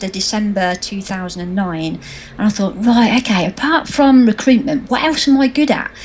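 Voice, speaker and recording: With a British accent, a woman speaks at a moderate pace in a fairly high pitch and lively intonation, while noticeable background noise runs underneath. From England. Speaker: social media marketing trainer. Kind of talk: interview.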